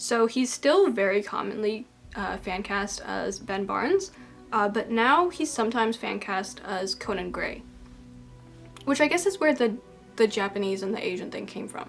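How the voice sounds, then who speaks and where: A woman speaks at a moderate pace in a fairly high voice with lively intonation. Music plays in the background. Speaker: video essayist. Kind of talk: video essay monologue. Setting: home video recording under bright lights. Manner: casual, filler-heavy.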